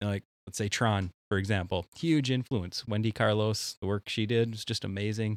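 In a very clean recording with a silent background, a man with an Upper Midwest accent speaks at a moderate pace, his fairly low pitch held in fairly even intonation. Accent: Upper Midwest (Minnesota). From central Minnesota. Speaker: synthwave musician. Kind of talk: casual chat.

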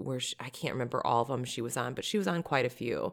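This woman with an American accent is heard on a very clean recording with a silent background. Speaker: podcast co-host. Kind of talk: casual chat.

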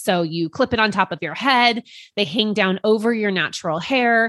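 A plain, everyday voice at a moderate pace, with ordinary pitch variation, in a dry, close sound with no echo and a quiet background. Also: woman. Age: 40s. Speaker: podcast host. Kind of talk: personal monologue.

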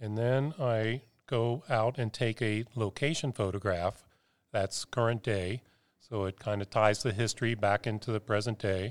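A plain, everyday voice with an American accent speaks with fairly even intonation. The sound is dry and close with no echo, on a very clean recording with a silent background. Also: man, medium pitch for a man, moderate pace. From Cincinnati, Ohio. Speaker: photographer. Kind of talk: casual chat.

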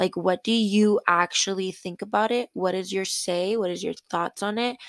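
An unremarkable speaking voice with fairly even intonation, in a dry, close sound with no echo. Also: woman. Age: 20s. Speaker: podcast guest. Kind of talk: casual chat.

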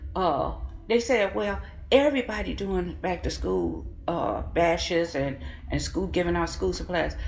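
The room echo is audible and the background noise noticeable. Her delivery, a woman's, is fairly slow. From Kankakee, Illinois. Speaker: city council member. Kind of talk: interview.

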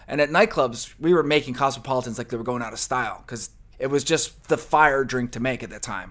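A man with a slight New Jersey accent talks at a fairly quick pace, captured on a very clean recording with a silent background. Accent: New Jersey-tinged American. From New Jersey, then New Mexico and California. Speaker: podcast co-host, food and beverage scene figure. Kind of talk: casual interview chat.

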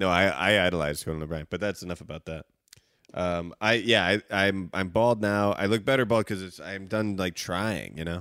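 A man's very deep, low voice with a bright, sharp tone, ordinary pitch variation, and a dry, close sound with no echo. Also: moderate pace. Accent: Chicago. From Chicago suburbs, US. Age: 30s. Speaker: guest co-host of a reality TV recap podcast. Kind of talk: casual chat, joking banter.

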